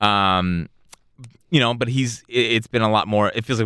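This man has a plain, everyday voice with a fairly low pitch. He speaks at a moderate pace. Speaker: podcast host. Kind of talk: casual banter. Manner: joking, interrupts often.

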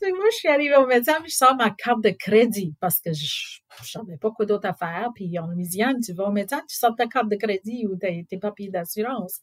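Lively intonation at a moderate pace, with big swings in loudness. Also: woman, fairly high pitch for a woman, hardly any pauses. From southwest Louisiana, US. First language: English (speaking French). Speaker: NGO director. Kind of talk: storytelling interview. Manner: casual.

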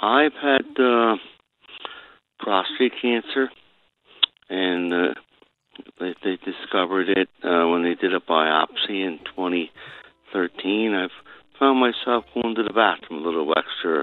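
Very slow and marked by long, frequent pauses, a man with an American accent speaks in a very deep, low pitch with ordinary pitch variation. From Pennsylvania. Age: 60s. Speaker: businessman. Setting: phone call.

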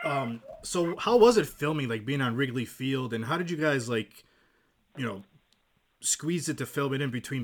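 A man speaks in a normal speaking voice with an American accent and a medium pitch. His intonation is lively and his pace moderate. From Massachusetts. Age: 40s. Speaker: podcast host. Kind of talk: casual interview.

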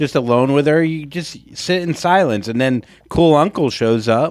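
A man speaks in a normal speaking voice, fairly high in pitch with ordinary pitch variation. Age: 40s. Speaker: podcast co-host. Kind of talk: casual chat.

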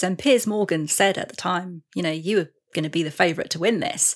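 Here someone speaks at a moderate pace with an English accent. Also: woman. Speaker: podcast host. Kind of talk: interview chat.

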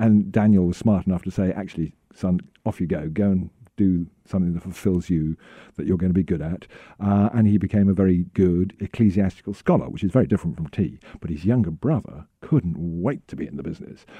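In a dry, close sound with no echo and a quiet background, a man with an English accent speaks at a fairly quick pace, his pitch very deep and low, his tone dark and mellow, with ordinary pitch variation. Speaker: tea company representative. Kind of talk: interview.

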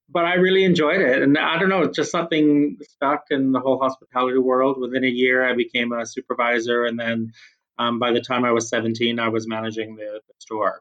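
A man with a Canadian accent has an unremarkable speaking voice, medium in pitch with ordinary pitch variation. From Canada. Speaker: HR executive. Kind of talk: casual interview chat.

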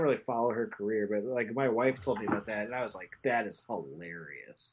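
Here is a man with an ordinary speaking voice. His pitch sits at a medium level. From Whittier, California. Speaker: comedian and podcaster. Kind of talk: casual chat.

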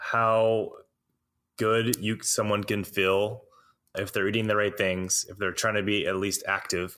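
On a very clean recording with a silent background, a man with an American accent speaks fairly slowly at a medium pitch. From US South, Alabama. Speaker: personal trainer and nutrition practitioner. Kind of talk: interview conversation.

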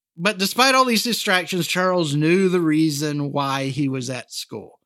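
A man with a fairly high voice speaks in an animated tone with ordinary pitch variation, recorded very cleanly against a silent background. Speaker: podcast host. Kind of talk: true-crime narration, casual and jokey storytelling. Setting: studio podcast. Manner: wry, sarcastic, animated; conversational, with jokes and asides.

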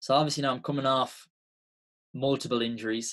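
Speaking fairly quickly, a man has an Irish accent. His intonation stays fairly even. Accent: Irish (Mayo). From Ireland, County Mayo. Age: 20s. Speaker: Gaelic footballer and former pro athlete. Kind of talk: podcast interview.

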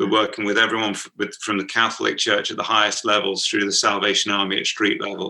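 A man talks at a very fast pace. He takes hardly any pauses. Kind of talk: interview, casual. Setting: video call.

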